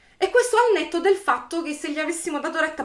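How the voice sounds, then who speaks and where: A woman is talking. Her pace is very fast. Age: 40s. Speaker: YouTuber; political commentator vlogger. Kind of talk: video commentary monologue. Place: home room. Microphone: webcam.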